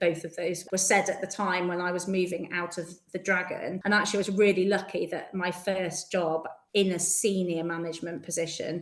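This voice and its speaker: Against noticeable background noise, a woman with a Yorkshire accent speaks fairly quickly at medium pitch in a monotone, flat intonation. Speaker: school headteacher. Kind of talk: interview.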